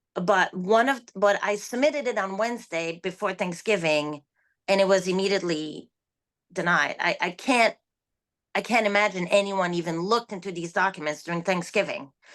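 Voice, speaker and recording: Her medium-pitched voice keeps a moderate pace, its pitch varying in an ordinary way. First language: not English. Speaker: online seller. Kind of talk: interview. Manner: halting.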